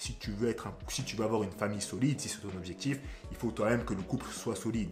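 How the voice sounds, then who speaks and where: A man talks at a medium pitch, his pitch varying in an ordinary way, while music plays in the background. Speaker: relationship coach, youtuber. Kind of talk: advice monologue to camera. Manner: casual, conversational.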